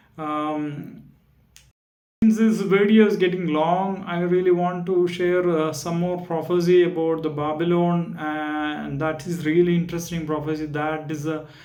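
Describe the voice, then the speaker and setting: In a non-native accent, the speaker moves at a fairly slow pace with fairly even intonation, and the room echo is audible. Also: man. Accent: non-native, self-noted pronunciation issues. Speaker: Bible study YouTuber. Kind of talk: video lecture on Bible history. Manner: halting, many fillers.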